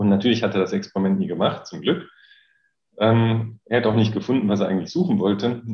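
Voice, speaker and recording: With a slight Rhineland accent, a man at medium pitch rushes along at a very fast pace with lively intonation. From Rhineland, Germany. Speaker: physics professor. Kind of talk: interview. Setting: video call. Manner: hesitant, many filler sounds.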